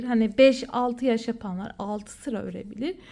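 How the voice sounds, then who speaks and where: At a fairly slow pace, a woman with a high voice speaks with ordinary pitch variation in a very clean recording with a silent background. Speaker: crochet and sewing tutorial maker. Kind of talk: tutorial. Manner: casual, counting aloud while working.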